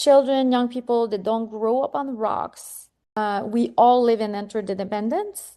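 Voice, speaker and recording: Her tone dark and mellow, a woman with fairly high pitch talks at a fairly slow pace with fairly even intonation. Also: quiet background. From Quebec. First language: French. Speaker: psychotherapist and author. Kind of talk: interview.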